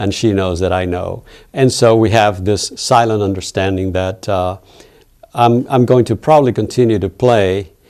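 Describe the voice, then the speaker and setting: This man's voice sits fairly low and moves with ordinary pitch variation at a moderate pace. The recording is very clean, with a silent background. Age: 60s. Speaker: campus basketball player. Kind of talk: interview. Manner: halting.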